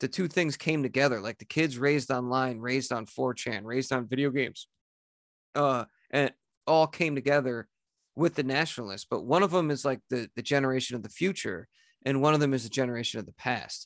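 In an American accent, a man with a normal speaking voice talks at a fairly quick pace, with medium pitch and ordinary pitch variation, in a dry, close recording with no echo and a quiet background. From US Northeast. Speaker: writer and podcaster. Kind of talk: casual chat.

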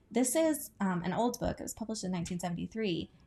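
A woman speaks in a relaxed tone with lively intonation. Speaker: book podcaster and booktuber. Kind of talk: casual chat. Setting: at home on the couch. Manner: relaxed with frequent filler words.

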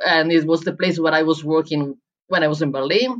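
A woman with an Italian accent talks at a fairly quick pace. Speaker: head barista and coffee writer. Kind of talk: interview.

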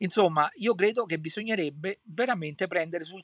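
The recording sounds dry and close, without any echo. A man talks, his pitch varying in an ordinary way. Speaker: podcaster and political commentator. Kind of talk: solo commentary monologue. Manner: hesitant, many filler sounds.

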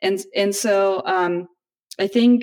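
A woman speaks at a medium pitch with ordinary pitch variation. She talks in a Russian accent. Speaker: educational psychology professor. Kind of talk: casual chat.

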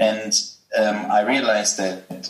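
The speaker uses a monotone, flat delivery with a German accent over noticeable background noise. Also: man. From Germany. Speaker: healthcare company co-founder and investor. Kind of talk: interview. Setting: video call. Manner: halting, many filler sounds.

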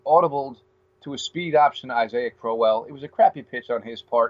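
This is a man speaking. He has a normal speaking voice. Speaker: sports podcast host. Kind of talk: casual sports talk interview. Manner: frequent filler words.

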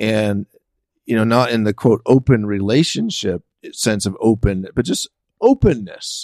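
An ordinary speaking voice with an American accent, at a fairly slow pace with ordinary pitch variation, in a dry, close sound with no echo. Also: man, medium pitch for a man. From San Francisco, US. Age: 50s. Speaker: podcast host and writer. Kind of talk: casual chat. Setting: guest's home office studio.

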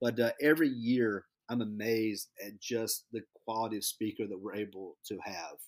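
An unremarkable speaking voice from a man at medium pitch, at a moderate pace with fairly even intonation and big swings in loudness, in a dry, close sound with no echo. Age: 40s. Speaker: high school basketball coach. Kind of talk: interview.

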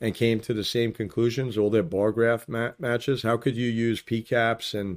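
With an unremarkable speaking voice, a man talks at a moderate pace in a fairly low pitch with fairly even intonation, on a very clean recording with a silent background. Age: 40s. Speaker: video podcaster, political commentator. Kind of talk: monologue to camera, political commentary; angry rant. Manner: angry, sarcastic, profane, insulting; casual, conversational.

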